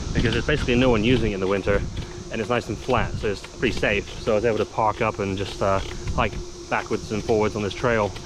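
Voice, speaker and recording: A man speaks at a very fast pace with fairly even intonation against noticeable background noise. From England. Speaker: outdoor vlogger and father. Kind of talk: casual vlog narration while cycling. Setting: outdoors on a bike trail. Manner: relaxed, many fillers (uh, um).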